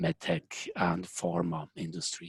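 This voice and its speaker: With a Swiss accent, the speaker goes at a fairly slow pace in a dry, close sound with no echo and a quiet background. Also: man. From Switzerland. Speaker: software engineering consultant and company founder. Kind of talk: webinar presentation. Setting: online webinar, remote from Zurich.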